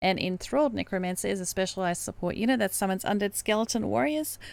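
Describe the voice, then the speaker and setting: The recording is very clean, the background silent. A woman speaks fairly quickly. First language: not English. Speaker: gaming streamer. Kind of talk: tutorial. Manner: hesitant, many fillers.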